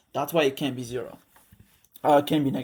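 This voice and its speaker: The speaker has a non-native accent and fairly even intonation on a very clean recording with a silent background. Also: man. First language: not English. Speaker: student tutor. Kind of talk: tutorial. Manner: casual, halting with fillers.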